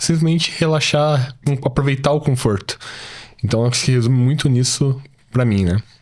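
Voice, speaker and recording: A man speaks in a plain, everyday voice with lively intonation. His loudness stays very even. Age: 20s. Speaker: programmer. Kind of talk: casual interview.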